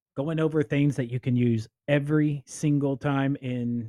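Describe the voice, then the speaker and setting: A man speaks slowly with an American accent. The recording is dry and close, with no echo. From Indiana. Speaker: fantasy football podcast host. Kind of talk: solo podcast commentary. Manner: animated.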